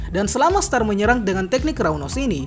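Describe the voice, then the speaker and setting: A woman talks at a very fast pace in a fairly high voice. Music plays in the background. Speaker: manga reviewer, channel admin. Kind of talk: manga chapter recap.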